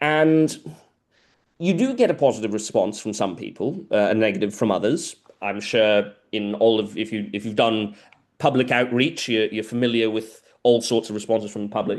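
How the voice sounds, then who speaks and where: The talking goes at a moderate pace against a quiet background. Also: man, medium pitch for a man, ordinary pitch variation. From South America. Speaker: biologist. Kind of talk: lecture Q&A. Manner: hesitant, many fillers and repetitions.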